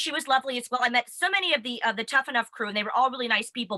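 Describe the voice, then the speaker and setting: In an American accent, a woman talks very fast in a high, raised, projected voice with an animated tone, the sound dry and close with no echo. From United States. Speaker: wrestling web show host. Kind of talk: casual chat.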